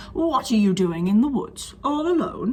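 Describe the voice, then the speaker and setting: Doing a put-on character voice, a woman growls in a croaky, high pitch over light background noise. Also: moderate pace. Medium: read story. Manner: growling, croaking.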